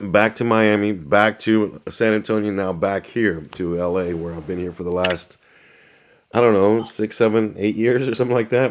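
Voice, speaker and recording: A man talks at a moderate pace in a normal speaking voice. His pitch is fairly low and his intonation fairly even. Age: 60s. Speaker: news cameraman. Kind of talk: casual chat.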